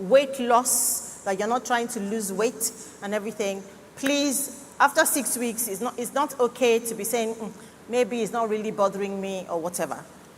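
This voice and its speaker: A woman speaks at a fairly slow pace in a fairly high pitch, with ordinary pitch variation and noticeable background noise. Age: 60s. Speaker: cancer doctor. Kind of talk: health talk at church conference.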